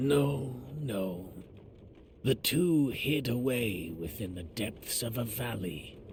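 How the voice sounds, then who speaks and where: Over clear background noise, a man does a put-on character voice at medium pitch, with lively intonation and a very slow pace. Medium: video game. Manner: calm, gentle, unhurried.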